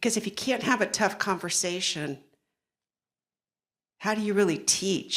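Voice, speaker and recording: Audible room echo surrounds a woman speaking at a medium pitch. She talks at a fairly slow pace with ordinary pitch variation. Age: 60s. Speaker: nurse and maternal health panelist. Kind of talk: conference panel discussion.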